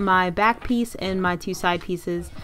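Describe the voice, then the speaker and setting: An unremarkable speaking voice from a woman, medium in pitch, moderate in pace, with ordinary pitch variation. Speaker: sewing YouTuber. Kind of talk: tutorial.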